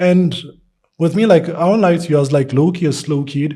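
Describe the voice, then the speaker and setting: The man's tone is dark and mellow, somewhat breathy. He uses ordinary pitch variation. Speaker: artist. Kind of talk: casual interview. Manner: halting, many fillers; stutters at times.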